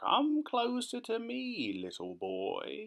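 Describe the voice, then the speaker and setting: A man puts on a creaky character voice. He speaks at a very slow pace. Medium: read story. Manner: conspiratorial.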